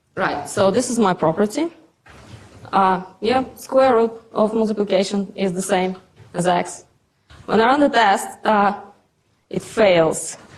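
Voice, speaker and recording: A woman with a strong Russian accent, medium pitch and ordinary pitch variation, at a fairly slow pace with long, frequent pauses. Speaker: conference speaker, software developer. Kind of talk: conference talk with live demo. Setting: stage with audience. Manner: halting, many fillers and repetitions.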